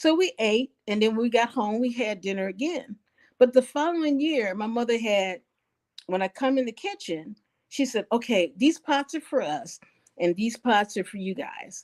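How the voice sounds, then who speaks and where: A woman with a fairly high pitch talks in an ordinary speaking voice at a moderate pace with lively intonation, the sound dry and close with no echo. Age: 60s. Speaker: elder interviewee. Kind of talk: life story interview. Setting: living room.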